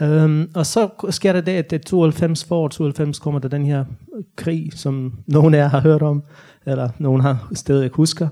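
The man speaks at a very slow pace with fairly even intonation. His tone is dark and mellow. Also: fairly high pitch for a man. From Bosnia. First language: Bosnian/Croatian (speaking Danish). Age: 30s. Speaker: novelist. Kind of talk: author talk with Q&A. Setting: library stage with audience. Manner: halting, many fillers.

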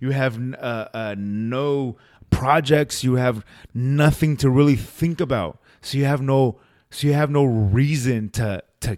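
At a fairly slow speed, an ordinary speaking voice with ordinary shifts in pitch comes through on a very clean recording, the background silent. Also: man, medium pitch for a man. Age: 30s. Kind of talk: casual chat.

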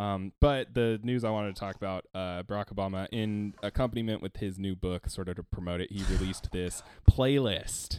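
A man with a plain, everyday voice speaks at a fairly low pitch and a fairly quick pace, with hardly any pauses. The recording is very clean, dry and close with no echo, and the background is silent. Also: fairly even intonation. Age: 20s. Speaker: podcast host. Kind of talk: casual chat.

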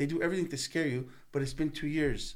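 Words pour out of a man at a very fast pace. Even so, his intonation remains fairly even. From Canada, Italian-Canadian family. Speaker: singer-songwriter. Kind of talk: casual chat. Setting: studio.

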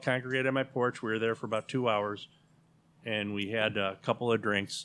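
Speaking with an American accent, a man moves at a fairly quick pace in a monotone, flat intonation. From Chicago area, River Forest. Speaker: neighborhood association president. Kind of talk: casual chat.

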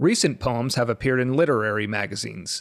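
In a very clean recording with a silent background and a dry, close sound with no echo, a man speaks at medium pitch with ordinary pitch variation in a plain, everyday voice. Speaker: podcast host. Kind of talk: scripted intro, then interview.

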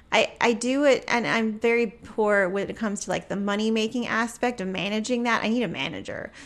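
Recorded very cleanly with a silent background, a woman has a normal speaking voice, a fairly high pitch and a moderate pace. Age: 40s. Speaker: photographer and teacher. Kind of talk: casual interview.

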